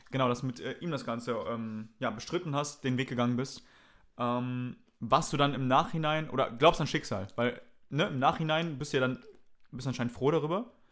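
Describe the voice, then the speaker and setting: Speaking at a moderate pace with ordinary pitch variation, a man has a medium-pitched voice and a plain, everyday voice, on a very clean recording with a silent background. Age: young. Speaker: comedian. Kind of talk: casual chat.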